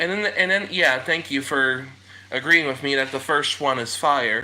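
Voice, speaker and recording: A man with an American accent talks at a moderate pace with lively intonation, over noticeable background noise. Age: 20s. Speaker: live streamer. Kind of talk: casual chat. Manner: halting.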